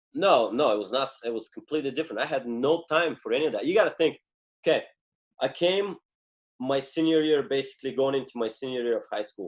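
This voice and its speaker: With a Bulgarian accent, a man talks at a very fast pace and fairly high pitch, with ordinary pitch variation and long, frequent pauses. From Bulgaria, Stara Zagora. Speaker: former Olympic wrestler. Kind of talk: interview.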